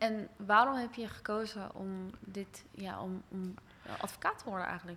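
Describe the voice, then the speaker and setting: The speaker keeps a moderate pace and fairly even intonation, with big swings in loudness. Noticeable background noise runs underneath. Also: woman, medium pitch for a woman. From Rotterdam, Netherlands, partly abroad. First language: bilingual Dutch and English (speaking Dutch). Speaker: podcast host. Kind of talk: casual interview.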